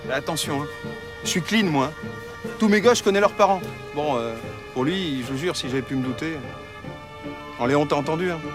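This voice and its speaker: With music in the background, a man speaks at a moderate pace in a fairly high voice with lively intonation and long, frequent pauses. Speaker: actor (comédien). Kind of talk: dramatic dialogue, TV drama scene.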